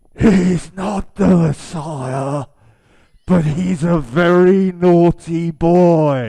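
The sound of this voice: In a breathy, quiet put-on character voice, the speaker goes at a very slow pace. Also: man, high pitch for a man.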